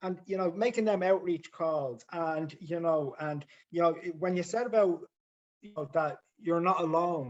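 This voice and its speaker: Pitched high for a man, this male voice shows big swings in loudness. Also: ordinary pitch variation, moderate pace. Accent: Dublin. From Ireland, Dublin inner city. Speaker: member sharing at support group. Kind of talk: support group share. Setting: video call.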